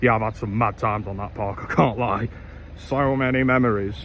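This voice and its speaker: A man with an East Midlands accent. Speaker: vlogger. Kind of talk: casual vlog. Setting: outdoors.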